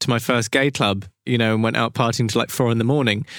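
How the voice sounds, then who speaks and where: A man's medium-pitched voice with a southern English accent and fairly even intonation, on a very clean recording with a silent background. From southern England, Brighton. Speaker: period tailor. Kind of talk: interview. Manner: halting.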